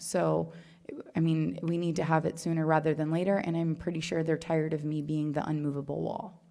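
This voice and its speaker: A woman speaks fast-ish, fairly quick, in a very deep, low voice with a dark, mellow tone. Her intonation is monotone and flat, and the room echo is audible. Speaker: planning and zoning board member. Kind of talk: public comment at council meeting.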